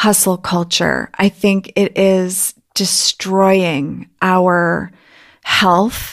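Speaking very slowly in a flat monotone, a woman is heard on a very clean recording with a silent background. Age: 50s. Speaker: podcast host. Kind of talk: casual chat.

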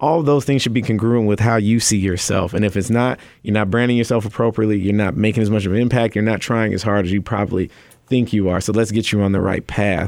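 At a very fast pace and very even loudness, a man with an American accent speaks at a fairly low pitch in a very clean recording with a silent background. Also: fairly even intonation. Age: 30s. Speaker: nonprofit founder and author. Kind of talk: radio interview. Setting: radio studio.

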